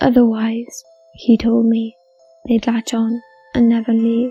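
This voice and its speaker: With music in the background, a woman speaks at a fairly high pitch and a moderate pace, her intonation monotone and flat. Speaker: story narrator. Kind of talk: horror story narration.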